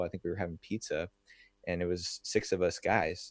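In an American accent, a man talks at a moderate pace. The background is quiet. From US Northeast, New Jersey near New York City. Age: 30s. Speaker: men's movement founder. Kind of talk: interview. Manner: halting.

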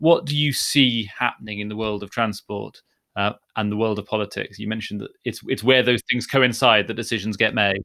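A fairly low-pitched man's voice with a bright, sharp tone, fairly even intonation and a fairly quick pace. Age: 30s. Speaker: podcast host. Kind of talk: interview.

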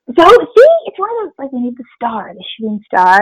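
A somewhat breathy voice with an American accent, speaking at a fairly quick pace. The sound is dry and close, with no echo. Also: woman. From Springfield, Missouri. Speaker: global health expert. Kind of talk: casual interview.

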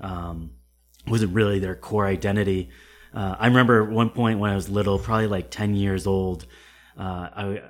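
A man with an American accent and a plain, everyday voice talks at a fairly quick pace, fairly low in pitch, with fairly even intonation. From Connecticut, US. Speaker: Marine infantry veteran. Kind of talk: casual interview conversation.

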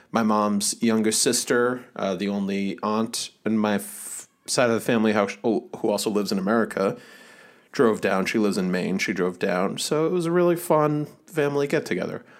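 Moderately paced and lively in intonation, a man with an ordinary speaking voice talks at a fairly low pitch. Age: 30s. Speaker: podcast co-host. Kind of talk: casual chat. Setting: video call.

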